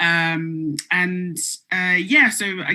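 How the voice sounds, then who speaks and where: A woman's tone comes across bright and sharp. The recording is very clean, with a silent background. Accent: British. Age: 20s. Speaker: music publicist. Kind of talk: panel interview.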